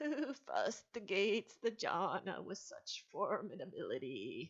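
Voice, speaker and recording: A woman puts on a raspy character voice. She speaks at a moderate pace. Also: fairly high pitch for a woman. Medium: read story. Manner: tremulous.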